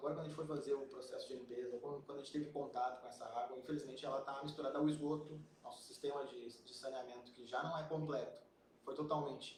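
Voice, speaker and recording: Amid noticeable background noise and audible room echo, a man talks at a very fast pace with a fairly high pitch. His loudness swings widely. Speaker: environmental engineer. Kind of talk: live stream interview. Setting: live stream. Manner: quiet.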